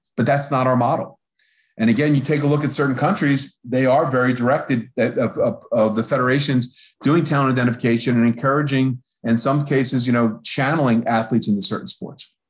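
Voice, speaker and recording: Fairly quick and very even in loudness, a man speaks with a Philadelphia accent. His medium-pitched voice holds fairly even intonation. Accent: Philadelphia American English. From US Northeast, Philadelphia. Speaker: professor. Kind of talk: lecture. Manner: fast.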